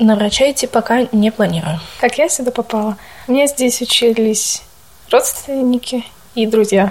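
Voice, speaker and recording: A woman at a moderate pace and fairly high pitch, with ordinary pitch variation and noticeable background noise. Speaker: nursing student. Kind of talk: interview.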